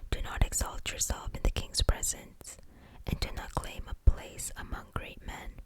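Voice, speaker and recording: A woman whispers at a moderate pace amid noticeable background noise. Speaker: ASMR Bible reader. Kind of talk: scripture reading for sleep. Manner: soft-spoken, whispered.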